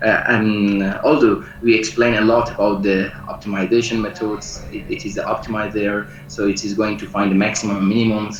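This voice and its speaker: Fairly quick, fairly low speech from a man with ordinary pitch variation, audible room echo and noticeable background noise. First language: not English. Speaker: lecturer and researcher. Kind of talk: online lecture. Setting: video call. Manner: halting, many fillers. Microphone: poor internet connection.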